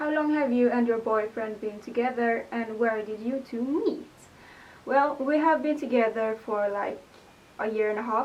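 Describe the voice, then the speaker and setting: A woman speaks at a moderate pace with a Swedish accent. Her pitch is fairly high, with ordinary variation. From Sweden, Gothenburg. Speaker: vlogger. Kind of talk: casual Q&A vlog. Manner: hesitant, many fillers. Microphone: poor microphone, hard to hear.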